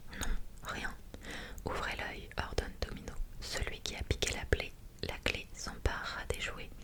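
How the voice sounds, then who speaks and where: A woman whispers fairly slowly as noticeable noise sounds in the background. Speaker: ASMR creator. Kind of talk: whispered ASMR story reading. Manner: whispered, soft.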